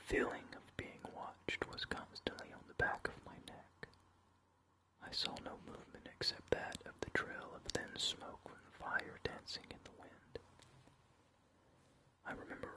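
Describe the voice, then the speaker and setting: Someone is whispering at a fairly slow pace with noticeable background noise. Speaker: ASMR creator and reader of his own novel. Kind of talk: ASMR horror story reading. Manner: whispered, soft-spoken, slow.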